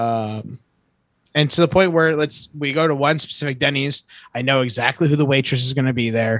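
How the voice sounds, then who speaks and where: A man with a normal speaking voice, fairly high pitch, ordinary pitch variation, a fairly quick pace, and an American accent. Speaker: podcast co-host. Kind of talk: casual chat.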